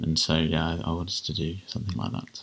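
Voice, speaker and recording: In a southern English accent, a man speaks with a very deep, low pitch. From southern England (Kent). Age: 30s. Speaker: general practitioner. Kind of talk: interview. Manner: hesitant, with fillers.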